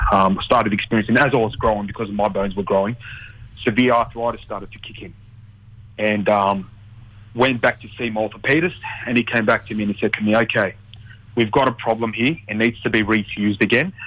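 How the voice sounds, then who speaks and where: In an Australian accent, the speaker talks at a fairly quick pace with fairly even intonation, broken by long, frequent pauses. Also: man, fairly low pitch for a man. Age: 30s. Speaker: mortgage broker. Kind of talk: casual radio interview. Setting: radio studio. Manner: halting, filler-heavy.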